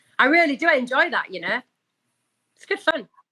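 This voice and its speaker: A woman's raised, projected voice with a Yorkshire accent and a bright, sharp tone. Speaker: celebrity commentator and voice actor. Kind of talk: casual interview. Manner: fast; articulate.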